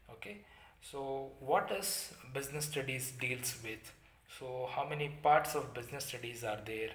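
With audible room echo, a man speaks at a fairly slow pace with ordinary pitch variation. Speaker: teacher. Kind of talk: lecture. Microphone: phone near.

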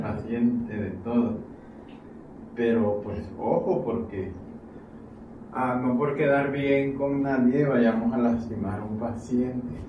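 Noticeable background noise sits behind a man speaking very slowly. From Mexico, Chiapas. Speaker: chiropractor and instructor. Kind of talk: tutorial narration during a therapy session. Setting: treatment room, on camera.

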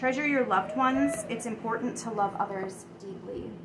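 A woman at a moderate pace with ordinary pitch variation, over loud background noise. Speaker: tarot card reader. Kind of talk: casual reading commentary. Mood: calm, reflective. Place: kitchen. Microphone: phone near.

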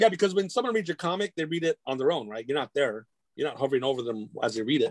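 Dry and close with no echo, a man with an American accent speaks at a very fast pace and a fairly high pitch with lively intonation. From Whittier, near Los Angeles, California. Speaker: comic book creator and arts educator. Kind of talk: casual chat. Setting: video call.

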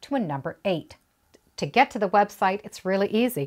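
In quiet surroundings, a woman speaks with lively intonation. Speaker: quilting instructor. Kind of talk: tutorial. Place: home room.

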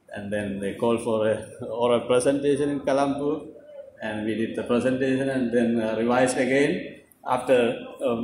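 Fairly even intonation at a moderate pace, with light background noise and audible room echo. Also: man. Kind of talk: ceremony speech. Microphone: podium.

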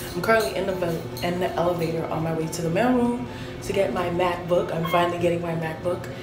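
Clear music in the background accompanies a woman speaking with ordinary pitch variation. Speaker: college student vlogger. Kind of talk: casual vlog chat. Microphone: phone near.

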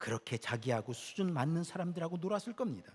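Somewhat breathy and fairly high for a man, this voice swings very widely in pitch. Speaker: pastor. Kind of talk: sermon. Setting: church.

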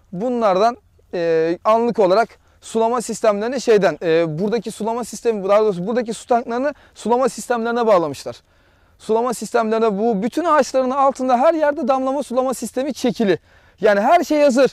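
In an animated tone, a man with an extremely high pitch talks at a fairly quick pace with ordinary pitch variation, over a quiet background and a dry sound with no echo. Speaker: real estate agent; property seller. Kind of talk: property tour video. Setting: outdoors. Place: garden.

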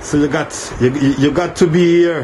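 A man speaks at a very slow pace, his pitch varying in an ordinary way, with light noise behind him. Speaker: bar tour guide. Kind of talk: casual vlog chat. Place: tunnel cave. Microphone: phone near.

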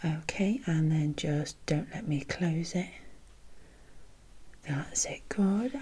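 A soft-spoken woman talks at a very slow pace. Her tone is gentle, dark and mellow, and somewhat breathy. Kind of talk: soft-spoken role-play instructions to viewer. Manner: soft, gentle examiner voice.

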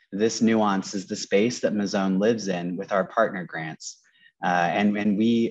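A man talks at a moderate pace in a fairly low pitch. His intonation stays fairly even against a quiet background. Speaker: nonprofit program manager. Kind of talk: presentation. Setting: video call from Los Angeles. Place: office. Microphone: earbuds.

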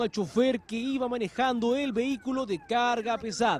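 Speaking at a fairly slow pace, a man has an extremely high pitch. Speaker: TV news reporter. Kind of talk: news narration.

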